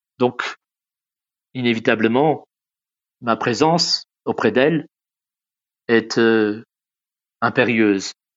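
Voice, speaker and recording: A man talks very slowly with long, frequent pauses. His pitch is medium, with ordinary variation. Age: 60s. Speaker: caregiver. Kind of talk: testimony. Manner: halting.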